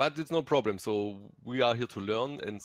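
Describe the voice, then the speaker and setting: A man with a German accent, medium in pitch, with lively intonation at a moderate pace against a quiet background. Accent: faint German. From Germany. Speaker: gaming content creator. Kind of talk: live game stream chat.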